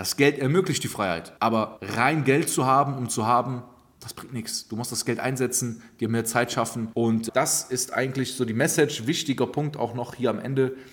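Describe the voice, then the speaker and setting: A man's plain, everyday voice at a medium pitch, with ordinary pitch variation and a moderate pace. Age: 20s. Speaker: stock market investor and finance coach. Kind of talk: casual monologue.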